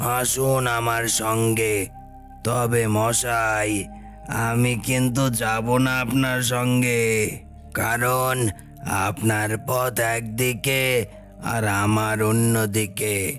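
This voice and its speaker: In a cartoonish character voice, the speaker goes at a very slow pace as clear music plays behind. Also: man, medium pitch for a man. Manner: familiar, warning.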